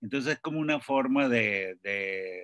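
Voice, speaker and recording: An unremarkable speaking voice from a man at medium pitch and a fairly slow pace. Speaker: novelist. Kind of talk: panel discussion. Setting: video call.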